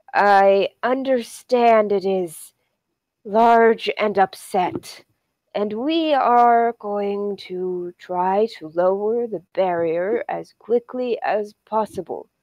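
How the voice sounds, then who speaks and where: Using a put-on character voice, a female-sounding speaker talks very slowly at a medium pitch in a strained way. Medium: actual play. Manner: stiff, formal, slightly hesitant.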